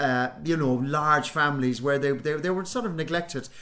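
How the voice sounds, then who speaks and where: In a Cork accent, a man talks with lively intonation. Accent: Irish (Cork). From Ireland, Youghal, County Cork. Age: 60s. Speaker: actor and playwright. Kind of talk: radio interview. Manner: halting, many repetitions.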